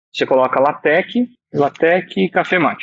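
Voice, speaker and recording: Dry and close with no echo, a man with an unremarkable speaking voice talks at a fairly high pitch with lively intonation. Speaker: math teacher and LaTeX tutorial creator. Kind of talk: online lecture / tutorial.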